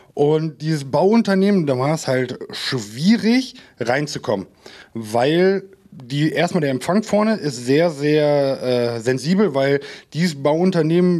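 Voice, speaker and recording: A man's fairly high voice, very slow in pace, with lively intonation. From Minden, East Westphalia, Germany. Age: 30s. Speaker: cyber-security business owner. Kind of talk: casual interview.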